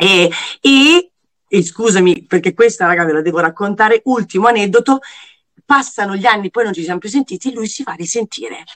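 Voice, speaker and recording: With a dry, close sound and no echo, a woman in an unremarkable speaking voice talks at a fairly quick pace, medium in pitch with lively intonation. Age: 40s. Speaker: TV presenter. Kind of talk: casual chat.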